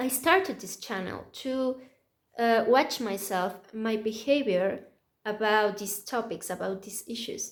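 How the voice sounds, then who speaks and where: Speaking in a plain, everyday voice, a woman at a fairly high pitch moves at a fairly slow pace with ordinary pitch variation and big swings in loudness. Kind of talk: casual talk to camera. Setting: low-quality microphone.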